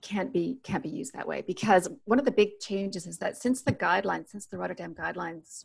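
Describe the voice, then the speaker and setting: A woman talks with vocal fry. The background is quiet. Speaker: remote podcast guest. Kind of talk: interview answer. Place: home room. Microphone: earbuds.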